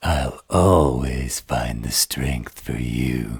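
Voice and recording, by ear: A raspy, put-on character voice from a man, very deep and low, at a very slow pace.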